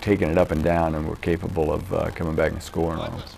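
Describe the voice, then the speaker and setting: Over noticeable background noise, a man with a very deep, low pitch talks at a very fast pace. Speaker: college basketball coach. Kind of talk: interview.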